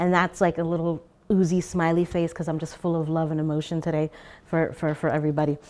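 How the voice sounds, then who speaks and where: The recording is very clean with a silent background. A woman speaks with a fairly low pitch. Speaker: artist, designer and educator. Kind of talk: artist talk. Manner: hyperverbal, fidgety.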